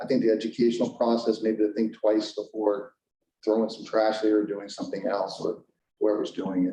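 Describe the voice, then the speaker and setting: Delivered at a fairly quick pace, the speech has monotone, flat intonation. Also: man, fairly low pitch for a man. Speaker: historical preservation advocate. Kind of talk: public meeting presentation. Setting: school committee meeting. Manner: fast.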